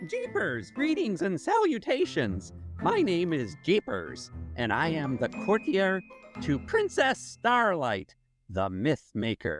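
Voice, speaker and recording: Faint music plays in the background as a put-on character voice at middle pitch speaks at a fairly slow pace. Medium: audio drama. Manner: fussy, exclamatory, refers to himself in third person.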